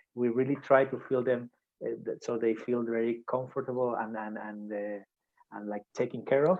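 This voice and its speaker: A man speaks with a Spanish accent at a medium pitch. His intonation is fairly even. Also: moderate pace. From Spain. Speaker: surgeon. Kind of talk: video call. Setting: video call. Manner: halting, many repetitions.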